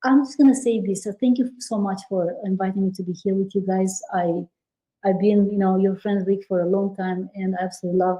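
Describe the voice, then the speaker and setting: A woman with a European accent, fairly quick, medium-pitched, with a dark, mellow and somewhat breathy tone. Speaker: business credit expert, commercial real estate broker. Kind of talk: podcast interview.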